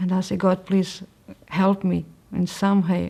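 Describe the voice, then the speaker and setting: The recording is very clean with a silent background. A woman with a dark, mellow tone and medium pitch speaks at a fairly slow pace. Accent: Portuguese. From Portugal. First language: Portuguese. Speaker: religious convert sharing her story. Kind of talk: testimony. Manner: halting, with frequent fillers and restarts.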